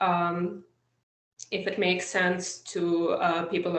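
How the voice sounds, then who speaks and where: A woman speaks with a Russian accent. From eastern Ukraine (Soviet era). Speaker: political writer. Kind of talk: interview. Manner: hesitant, many fillers.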